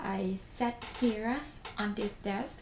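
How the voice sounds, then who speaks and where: A Thai accent over noticeable background noise. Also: woman. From Thailand. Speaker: nurse. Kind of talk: casual talk to camera.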